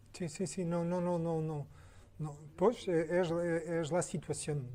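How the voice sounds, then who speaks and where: Speaking at a very slow pace, a man uses a high pitch and fairly even intonation. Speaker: architect. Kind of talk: Q&A after a lecture. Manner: halting, many repetitions.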